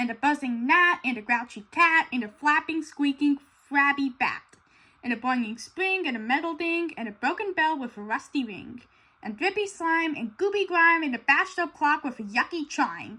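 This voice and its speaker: Using a put-on character voice, a woman speaks at a moderate pace in a gruff, high-pitched tone with lively intonation. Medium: read story. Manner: grumpy, gruff.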